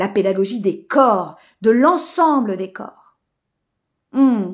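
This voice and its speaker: Fairly high-pitched and somewhat breathy, a woman speaks with an animated tone and lively intonation. The recording is very clean, with a silent background. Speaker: mentor and coach. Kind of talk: live-stream workshop talk. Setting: live stream.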